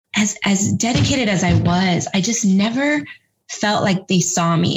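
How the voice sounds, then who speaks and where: A woman talks at a moderate pace with ordinary pitch variation. It is an ordinary speaking voice. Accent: American. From Texas, San Antonio. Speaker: education nonprofit director, former teacher. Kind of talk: interview.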